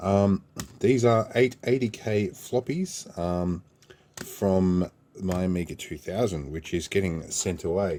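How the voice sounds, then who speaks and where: In an Australian accent, the voice speaks very slowly with a relaxed, dark, mellow tone and ordinary pitch variation. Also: man, very deep, low pitch for a man. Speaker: repair youtuber. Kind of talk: casual vlog unboxing. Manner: relaxed with frequent fillers.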